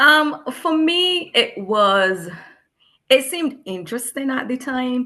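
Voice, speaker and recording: Raising and projecting her voice, a woman speaks very slowly at a high pitch with a bright, sharp tone and very wide pitch swings. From Barbados. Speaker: educator. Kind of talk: casual chat.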